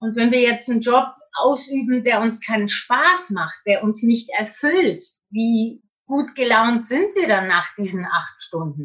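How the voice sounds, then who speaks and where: The woman's voice is fairly high and swings very widely in pitch. She speaks at a very slow pace. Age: 50s. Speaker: author and coach. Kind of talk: interview.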